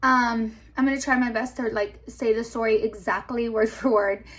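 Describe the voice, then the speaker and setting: Pausing long and often, a woman with a Spanish accent speaks at a fairly slow pace in a fairly high, monotone voice with flat intonation. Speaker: YouTuber storyteller. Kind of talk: casual storytime chat. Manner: casual, hesitant with many fillers.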